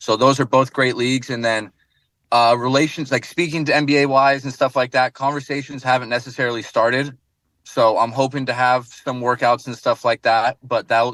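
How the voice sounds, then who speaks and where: With an American accent, a man speaks in a plain, everyday voice at a fairly quick pace and medium pitch, his intonation fairly even, in a dry, close sound with no echo against a quiet background. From United States. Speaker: professional basketball player. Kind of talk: radio interview.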